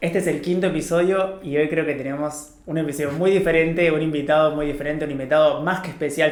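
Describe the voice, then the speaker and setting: A man speaks at a fairly high pitch and a fairly quick pace. His intonation is fairly even, and room echo is audible. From Argentina, Paraná, Entre Ríos. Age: 30s. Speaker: podcast host, business owner. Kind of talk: casual interview.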